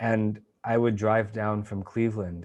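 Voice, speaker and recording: Over a quiet background, a man with a New England accent speaks in a dark, mellow tone. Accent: American (New England). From Maine, US Northeast. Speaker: meditation teacher. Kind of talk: interview answer. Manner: halting.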